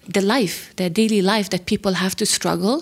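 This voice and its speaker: On a very clean recording with a silent background, a woman with a medium-pitched voice talks in a monotone, flat intonation. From Kabul, Afghanistan. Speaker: fashion social enterprise founder. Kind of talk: interview.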